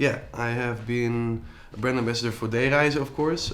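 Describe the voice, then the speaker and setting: With a Dutch accent, the speaker keeps a moderate pace and fairly even intonation amid audible room echo. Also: man. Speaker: entrepreneur and influencer. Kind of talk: interview. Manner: halting, many fillers.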